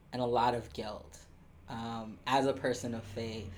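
In an American accent, a man talks at a very slow pace with audible room echo. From US Midwest (Columbus, Ohio). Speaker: spiritual life coach. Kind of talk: casual chat.

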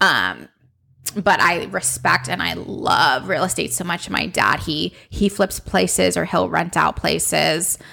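This woman's voice is very deep and low in pitch, with very wide pitch swings, an animated, bright, sharp tone, vocal fry, and a fairly slow pace. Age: 20s. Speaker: podcast host, beauty blogger. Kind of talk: casual chat.

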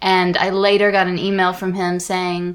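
This woman has a plain, everyday voice at medium pitch. She speaks with an American accent. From United States. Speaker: podcast co-host. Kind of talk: casual chat.

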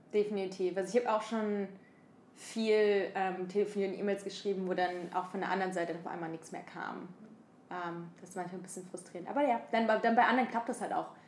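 The pace is fairly quick, with fairly even intonation and big swings in loudness. Noticeable background noise is present. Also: woman, medium pitch for a woman. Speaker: podcast co-host. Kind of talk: casual chat. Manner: halting, many fillers.

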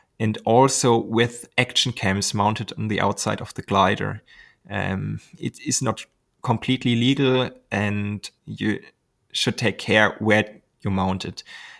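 A man's fairly low voice with vocal fry and a German accent, fairly even intonation, a fairly slow pace and long, frequent pauses, on a very clean recording with a silent background. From Germany. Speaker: glider pilot and YouTuber. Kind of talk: interview.

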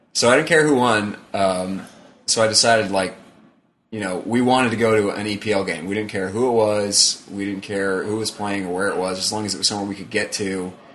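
In a room with audible echo, a man with a fairly low pitch talks at a fairly quick pace with fairly even intonation. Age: 20s. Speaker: sports podcast co-host. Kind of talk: casual chat. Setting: home recording with friends present.

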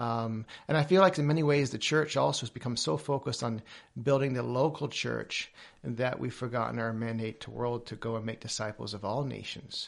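A man with a normal speaking voice, medium pitch, ordinary pitch variation and a fairly quick pace. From Papua New Guinea, English family, American schooling. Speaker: missions leader. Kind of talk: interview.

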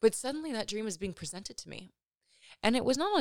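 On a very clean recording with a silent background and a dry, close sound with no echo, a woman with an American accent speaks in very wide pitch swings. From Los Angeles, California. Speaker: podcast host. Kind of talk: solo reflective monologue about personal story.

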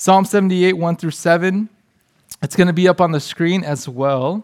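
A man's high-pitched voice at a moderate pace with ordinary pitch variation. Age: 30s. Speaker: youth pastor. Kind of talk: sermon.

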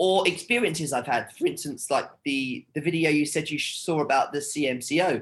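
Speaking fairly slowly in a British accent, a man with a fairly high pitch uses lively intonation. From United Kingdom. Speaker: TV host and content creator. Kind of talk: casual interview. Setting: video call.

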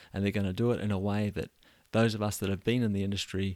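A man speaks with a New Zealand accent at a fairly low pitch. The recording is very clean, with a silent background. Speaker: podcast host. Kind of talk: solo monologue. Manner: repetitive stammering on words.

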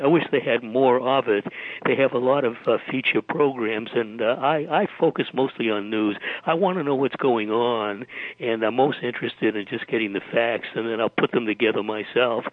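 Speaking at a moderate pace, a man uses a medium pitch with ordinary variation. Noticeable background noise is present. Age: 80s. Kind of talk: interview.

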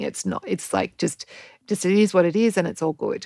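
A woman with an Australian accent at a moderate pace, ordinary pitch variation, on a very clean recording with a silent background. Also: dry, close sound with no echo. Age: 40s. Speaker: podcast host and health coach. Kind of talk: casual monologue.

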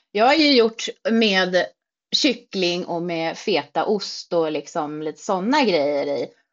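A woman talks with very wide pitch swings. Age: 40s. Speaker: social media creator on weight-loss surgery. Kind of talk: casual chat.

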